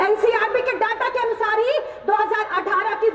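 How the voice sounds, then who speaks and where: A woman talks with an extremely high pitch. Her tone is passionate. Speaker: student organisation national general secretary, political speaker. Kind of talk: fiery political rally speech to a crowd. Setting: outdoor rally, PA system. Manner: passionate, forceful, indignant.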